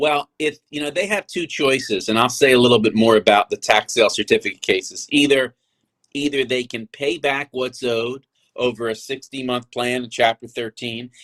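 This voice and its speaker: In a normal speaking voice, a man talks at medium pitch and a moderate pace, with a dry, close sound and no echo. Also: ordinary pitch variation. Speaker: lawyer; co-host. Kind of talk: interview answer.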